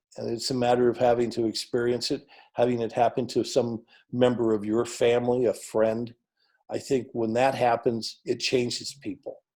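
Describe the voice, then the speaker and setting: In a very clean recording with a silent background, a man with an American accent talks at a moderate pace and medium pitch, his dark, mellow tone delivered in a flat monotone. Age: 60s. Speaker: political candidate. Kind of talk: interview.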